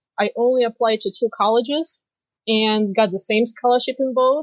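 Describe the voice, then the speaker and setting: A woman speaks at a fairly quick pace, the sound dry and close with no echo against a quiet background. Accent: strong Russian. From Moldova. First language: Romanian. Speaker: financial planner and finance professor. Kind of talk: podcast interview.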